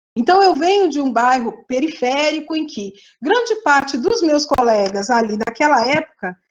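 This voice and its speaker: Her pitch is high. This woman's voice swings very widely in pitch. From Brazil, interior of São Paulo state (Presidente Prudente). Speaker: statistics professor. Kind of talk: panel interview talk. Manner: halting, many fillers and restarts.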